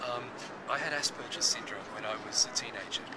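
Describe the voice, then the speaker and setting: A man talks at a fairly quick pace. Loud background noise surrounds him. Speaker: psychologist and author. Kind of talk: interview. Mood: reflective, candid. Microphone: phone near.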